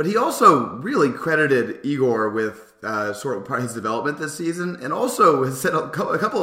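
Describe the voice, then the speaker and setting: Through noticeable background noise, a man speaks very fast with lively intonation. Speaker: basketball podcaster. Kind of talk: casual sports chat.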